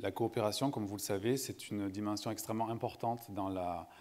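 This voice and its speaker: Talking at a very fast pace, a man with a fairly low voice keeps a fairly even intonation, and room echo is audible. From southern France, Montpellier. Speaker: sustainability consultant, panel moderator. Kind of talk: conference panel moderation. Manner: hesitant, many fillers.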